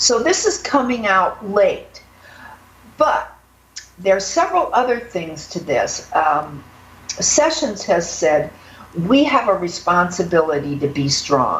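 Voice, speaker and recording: A woman with an American accent speaks fairly slowly at a medium pitch. Her pitch swings very widely, and there is noticeable background noise. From northern US. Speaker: political news commentator. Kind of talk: political commentary chat.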